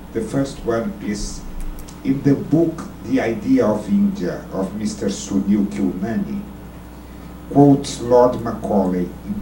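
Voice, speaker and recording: In a room with audible echo and noticeable background noise, a man speaks at a very slow pace. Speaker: audience member asking a question. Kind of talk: Q&A question at a debate.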